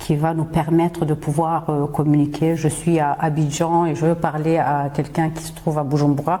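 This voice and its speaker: A woman with a Swahili accent and a very deep, low pitch speaks at a moderate pace over noticeable background noise. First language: Swahili (speaking French). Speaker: podcast host and singer. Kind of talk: podcast monologue. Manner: hesitant, frequent fillers.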